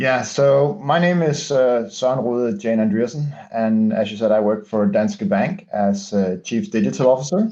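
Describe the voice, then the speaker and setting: A man with a Danish accent speaks at a moderate pace and medium pitch, with hardly any pauses. His tone is dark and mellow, with very wide pitch swings and very even loudness. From Denmark. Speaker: bank digital executive. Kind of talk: interview. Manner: halting, many fillers.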